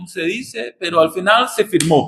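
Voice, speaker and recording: At a fairly slow pace, a man speaks with a non-native accent. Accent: foreign accent in Spanish. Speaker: visiting pastor. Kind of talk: sermon. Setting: church.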